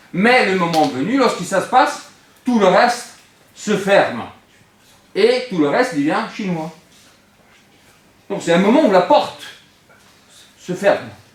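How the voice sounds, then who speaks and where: With an Italian accent, a man speaks at high pitch with lively intonation and long, frequent pauses, and room echo is audible. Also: fairly slow pace. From Italy. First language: Italian (speaking French). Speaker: philosophy teacher. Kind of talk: classroom lecture. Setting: classroom with students. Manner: animated.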